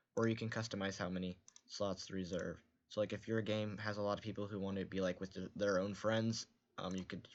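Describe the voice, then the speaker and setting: A man speaks in a fairly low voice. His intonation is flat and monotone. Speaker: game development streamer. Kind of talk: tutorial. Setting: live stream. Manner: soft-spoken.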